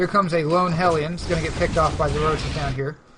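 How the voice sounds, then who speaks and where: A high-pitched man's voice at a fairly quick pace. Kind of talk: live commentary. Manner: fast; stumbling over words.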